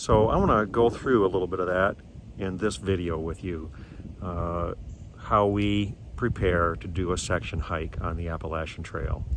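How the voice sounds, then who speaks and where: Speaking with a very deep, low pitch, the man holds a moderate pace and ordinary pitch variation over noticeable background noise. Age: 60s. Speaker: hiking vlogger. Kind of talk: casual vlog narration. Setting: outdoors. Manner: casual.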